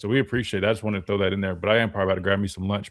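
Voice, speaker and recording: On a very clean recording against a silent background, a man's voice comes through. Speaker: sports talk host and former football linebacker. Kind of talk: live sports talk show. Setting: radio studio, live stream. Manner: fast; casual, filler-heavy.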